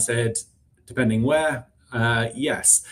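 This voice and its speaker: Speaking with a British accent, a man keeps a medium pitch. His pace is fairly slow, with ordinary pitch variation. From UK. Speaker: recruiting executive. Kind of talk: interview. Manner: hesitant, many fillers.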